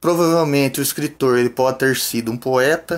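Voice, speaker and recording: Pitch moves in an ordinary way. The speech goes at a fairly slow pace. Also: man. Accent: Brazilian. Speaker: Sunday school teacher. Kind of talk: lecture.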